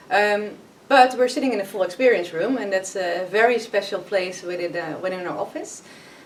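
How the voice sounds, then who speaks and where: Noticeable background noise beneath a woman's speech. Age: 30s. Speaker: business consultant and workshop facilitator. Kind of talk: podcast interview. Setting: company meeting room.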